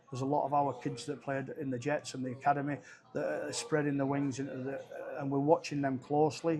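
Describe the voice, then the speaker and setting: A man talks at a very fast pace. His fairly high voice stays monotone and flat. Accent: Cumbrian. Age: 60s. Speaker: rugby league head coach. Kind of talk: interview. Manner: halting.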